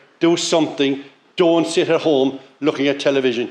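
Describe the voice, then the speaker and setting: A man's fairly high-pitched voice with a Cork accent. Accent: Irish (Cork). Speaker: local councillor. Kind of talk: speech at launch event.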